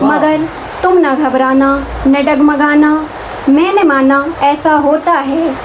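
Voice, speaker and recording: Her voice is high-pitched and monotone, with flat intonation and very even loudness. Noticeable background noise runs behind this woman. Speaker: Urdu poet. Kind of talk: poetry reading. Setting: private gathering at a residence.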